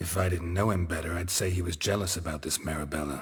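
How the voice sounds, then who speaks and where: A man in a put-on character voice, very deep and low in pitch, at a very fast pace. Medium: video game. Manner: dry, laconic.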